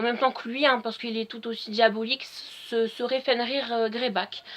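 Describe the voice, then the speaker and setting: This woman's voice sits at a fairly high pitch. She talks at a moderate pace. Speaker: fan video blogger. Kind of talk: casual solo vlog talk. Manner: hesitant with frequent fillers.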